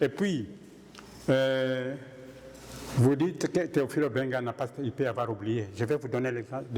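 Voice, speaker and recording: With an eastern Congolese accent, a man speaks with ordinary pitch variation. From DR Congo. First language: Kihunde (speaking French). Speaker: conference speaker. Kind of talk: Q&A discussion.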